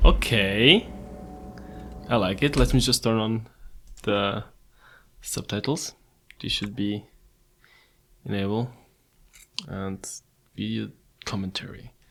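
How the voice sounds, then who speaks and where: Long, frequent pauses break up this very slow delivery. The speaker has a non-native accent. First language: not English. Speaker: gaming youtuber. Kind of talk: let's play commentary. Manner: casual, chatty.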